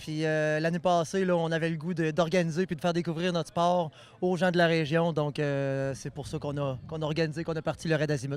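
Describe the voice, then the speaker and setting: Talking at a fairly quick pace, a man uses a fairly high pitch with fairly even intonation. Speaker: event organizer. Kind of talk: on-site interview. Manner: hesitant, many fillers.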